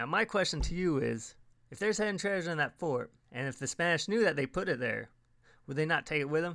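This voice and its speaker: Talking at a very fast pace, a man with a fairly high pitch and a bright, sharp tone uses lively intonation in a very clean recording with a silent background. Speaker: podcast host. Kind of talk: scripted podcast narration, informal travel talk. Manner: friendly, conversational.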